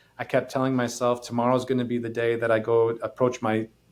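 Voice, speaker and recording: Flat and monotone, a man with an American accent talks at a fairly quick pace. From US Midwest, northeast Wisconsin. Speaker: podcast host. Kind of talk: personal testimony. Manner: halting.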